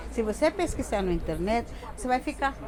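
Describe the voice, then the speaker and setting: Over noticeable background noise, a woman with a high voice talks at a moderate pace. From Bolivia. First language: Spanish (speaking Portuguese). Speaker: interviewee, Bolivian migrant. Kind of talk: interview. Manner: halting, repeats words.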